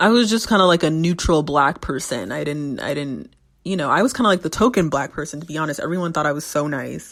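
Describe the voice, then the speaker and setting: Speaking very fast with hardly any pauses, a woman with an American accent uses a very deep, low pitch, an animated tone and lively intonation. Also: very clean recording, silent background. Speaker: podcast host. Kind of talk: casual solo podcast talk. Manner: animated, with many fillers.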